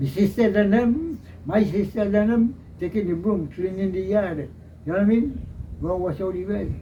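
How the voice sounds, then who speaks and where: This man speaks with a Trinidadian accent and a high pitch. His tone is dark and mellow. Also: ordinary pitch variation, moderate pace. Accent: rural Trinidadian English. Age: 80s+. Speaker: elderly villager recounting history. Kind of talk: interview.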